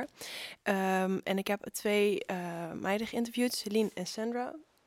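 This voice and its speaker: A woman's normal speaking voice, medium pitch, fairly even intonation, dry, close sound with no echo. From Zeeland, Netherlands. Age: young. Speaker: student magazine writer. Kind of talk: casual chat.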